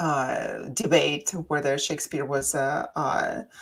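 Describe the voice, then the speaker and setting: A woman with a non-native accent talks very slowly. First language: not English. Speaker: radio co-host and past life regression practitioner. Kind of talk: radio talk show discussion. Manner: halting, many fillers.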